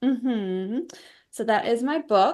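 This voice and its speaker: Against a quiet background, the woman's pitch varies in an ordinary way. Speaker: life coach and author. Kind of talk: interview. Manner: energetic.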